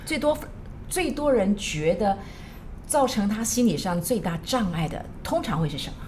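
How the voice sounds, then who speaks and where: A woman's medium-pitched voice with very wide pitch swings, a moderate pace and long, frequent pauses, plus audible room echo and noticeable background noise. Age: 50s. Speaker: teacher and counselor. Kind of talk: casual chat.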